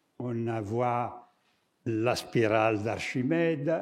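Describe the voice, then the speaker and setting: A man's dark, mellow tone with audible room echo. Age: 70s. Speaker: architect and artist, lecturer. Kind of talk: lecture. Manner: halting, with many hesitations.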